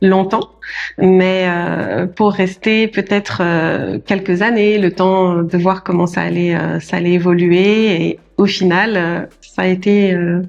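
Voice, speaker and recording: Speaking very slowly, a woman keeps a medium pitch and a flat, monotone delivery. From France, Paris region. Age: 40s. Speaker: notary. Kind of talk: podcast interview. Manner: hesitant, many fillers.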